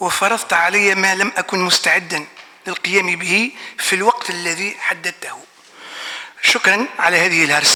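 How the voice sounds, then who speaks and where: A man with an Arabic accent, high-pitched and very slow, against noticeable background noise. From Tunisia. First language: Arabic (speaking French). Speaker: professor. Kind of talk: conference talk. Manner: hesitant, many fillers.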